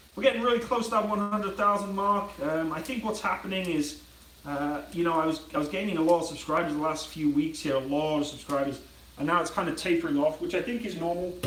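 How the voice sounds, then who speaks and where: Speaking at a very fast pace, a man with a high pitch uses ordinary pitch variation. Audible room echo and noticeable background noise fill the recording. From Britain. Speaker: YouTuber. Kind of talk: casual live stream chat while cooking.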